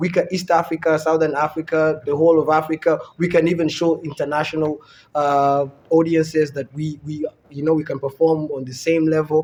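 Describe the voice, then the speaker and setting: A fairly quick pace in an American accent, with monotone, flat intonation. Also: man. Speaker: comedian. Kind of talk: casual chat.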